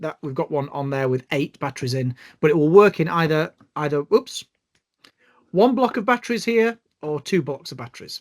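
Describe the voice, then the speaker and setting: Speaking with a British accent at a fairly quick pace, a man with a fairly high pitch makes very wide pitch swings and big swings in loudness, leaving long, frequent pauses in a dry, close sound with no echo. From UK. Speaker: bioacoustics trainer. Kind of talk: online tutorial. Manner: hesitant, many fillers.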